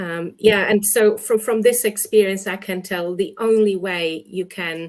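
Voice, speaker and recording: The recording is very clean, with a silent background. A woman at a medium pitch uses fairly even intonation but big swings in loudness. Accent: Polish. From Poland. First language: Polish. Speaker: English teacher, exam expert. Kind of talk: interview, giving advice. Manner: many fillers (um, uh).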